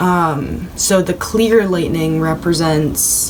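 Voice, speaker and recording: Audible room echo and noticeable background noise surround a woman with a fairly low pitch. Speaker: tarot reader. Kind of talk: tarot reading video. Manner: stumbles over words.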